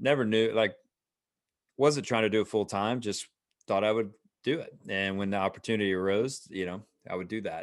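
A normal speaking voice with an American accent, fairly quick pace and ordinary pitch variation against a quiet background. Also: man. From US South, Atlanta. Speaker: leadership author. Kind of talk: interview.

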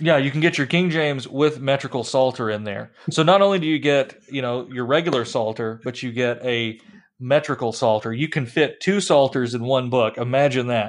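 Here a man has an unremarkable speaking voice, with a medium pitch, ordinary pitch variation, a moderate pace and hardly any pauses. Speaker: podcast host. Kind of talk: casual chat. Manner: humorous banter.

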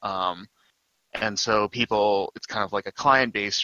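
Speaking at a fairly slow pace, a man has a fairly low pitch and an ordinary speaking voice. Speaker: anime podcast guest. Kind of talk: casual chat.

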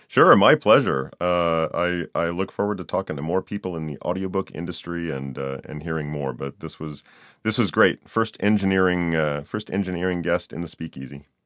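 A man with a very deep, low voice talks at a moderate pace with ordinary pitch variation and hardly any pauses, the sound dry and close with no echo on a very clean recording over a silent background. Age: 50s. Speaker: podcast host and audiobook narrator. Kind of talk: casual interview chat.

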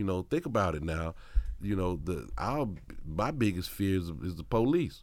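Very deep and low, this man's voice carries lively intonation. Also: moderate pace. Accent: Mississippi. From Mississippi, US South (Hattiesburg). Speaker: hip-hop journalist and former teacher. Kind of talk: casual interview chat.

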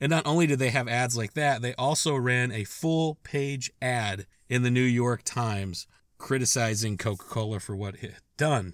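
Very clean recording and silent background for a plain, everyday voice, moderate in pace, with ordinary pitch variation. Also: man, medium pitch for a man. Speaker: podcast host. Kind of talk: scripted-style storytelling monologue. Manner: casual, conversational, wry and humorous; warm, upbeat sign-off.

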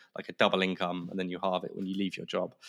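With a southern English accent, the speaker is heard in a very clean recording against a silent background. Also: man. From southern England, Kent (Canterbury). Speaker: podcast production business founder. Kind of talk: casual chat.

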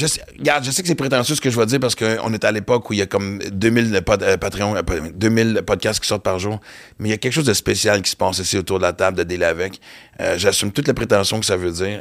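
A man at a very fast pace, ordinary pitch variation, on a very clean recording with a silent background. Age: 50s. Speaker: comedian and podcast host. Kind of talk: casual chat. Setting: studio.

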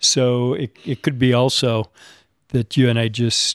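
Recorded very cleanly with a silent background and a dry, close sound with no echo, a man speaks in a normal speaking voice at medium pitch, his intonation fairly even. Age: 50s. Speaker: bonsai tree collector. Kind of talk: casual group conversation. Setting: in-person recording with microphones.

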